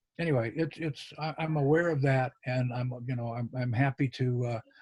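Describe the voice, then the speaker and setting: A somewhat breathy man speaks at a moderate pace. The recording is very clean with a silent background and a dry, close sound with no echo. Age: 70s. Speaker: magician. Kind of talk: interview. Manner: halting, many fillers and restarts.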